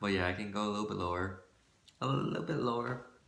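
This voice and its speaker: Audible room echo surrounds a man's voice. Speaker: vlogger. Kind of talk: casual vlog monologue. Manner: halting, many fillers.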